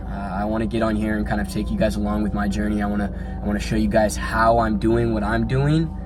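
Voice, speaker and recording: Through noticeable background noise and audible room echo, a man with a very deep, low pitch speaks at a very fast pace with monotone, flat intonation. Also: hardly any pauses. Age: young. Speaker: fitness vlogger and online personal trainer. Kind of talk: casual vlog talk to camera. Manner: halting, many fillers.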